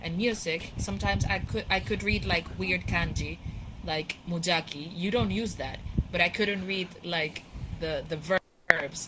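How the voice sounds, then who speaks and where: At a moderate pace and medium pitch, a woman with a non-native accent speaks with ordinary pitch variation against noticeable background noise. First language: not English. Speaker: VR chat participant. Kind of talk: casual chat.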